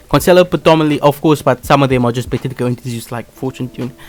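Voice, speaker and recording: A man's medium-pitched voice at a very fast pace, with ordinary pitch variation and music playing in the background. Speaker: gaming youtuber, card game deck guide. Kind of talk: tutorial. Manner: halting, frequent fillers and self-corrections.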